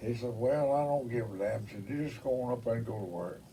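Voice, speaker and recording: A man's medium-pitched voice in a Mississippi accent. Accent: Southern US, Mississippi. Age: 80s+. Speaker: engineer. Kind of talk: oral history interview answer. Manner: colorful storyteller, salty.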